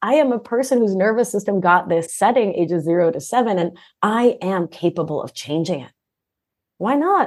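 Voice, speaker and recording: Over a quiet background, a woman with an American accent speaks in an animated tone at a moderate pace, with lively intonation and big swings in loudness. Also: medium pitch for a woman. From Argentina, raised in US from age three. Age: 40s. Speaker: nurse practitioner and life coach. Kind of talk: podcast interview.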